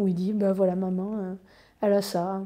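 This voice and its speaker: The background is free of noise. A woman talks at a moderate pace. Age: 30s. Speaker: patient with eczema sharing her experience. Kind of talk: personal testimony. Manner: halting, frequent hesitations. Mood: calm, warm, positive. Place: office.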